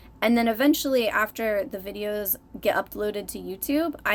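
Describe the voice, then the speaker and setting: Soft-spoken and mumbling, a woman talks at a moderate pace in a medium pitch with lively intonation. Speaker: art YouTuber. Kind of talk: tutorial.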